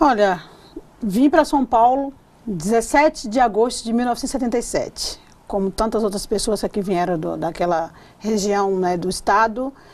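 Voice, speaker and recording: A woman with a fairly high pitch and lively intonation, at a moderate pace. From Bahia, Brazil (Ubatã). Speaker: state politician. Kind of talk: TV interview. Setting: TV studio. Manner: halting.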